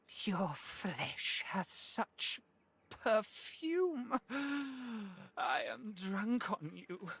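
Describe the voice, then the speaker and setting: A put-on character voice, fairly high in pitch, hisses. It moves at a very slow pace. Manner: hissing, creepy, seductive.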